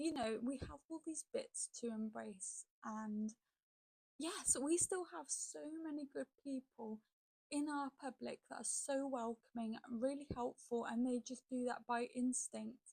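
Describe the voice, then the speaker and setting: A woman with a British accent, high in pitch, at a fairly slow pace, with ordinary pitch variation, a dark, mellow tone and a dry, close sound with no echo. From UK. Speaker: reaction video creator. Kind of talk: casual commentary.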